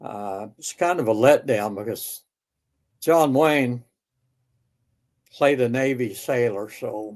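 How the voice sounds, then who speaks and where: A man mumbles at a very slow pace, with long, frequent pauses. His loudness swings widely. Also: medium pitch for a man, ordinary pitch variation. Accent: American. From Oklahoma. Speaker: war veteran. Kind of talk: interview storytelling. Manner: mumbling; halting.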